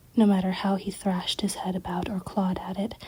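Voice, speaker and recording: The speaker is soft-spoken. The pace is moderate. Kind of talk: ASMR story reading.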